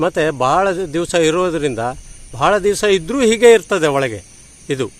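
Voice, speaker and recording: This man has an ordinary speaking voice, pitched fairly high. His intonation is lively. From Uttara Kannada, Karnataka (Sirsi). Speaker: farmer and mango variety conservationist. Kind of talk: casual explanation on camera.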